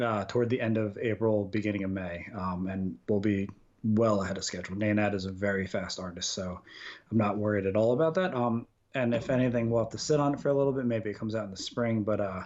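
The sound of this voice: The delivery is fast, with ordinary pitch variation. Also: man, fairly low pitch for a man, slightly mellow tone.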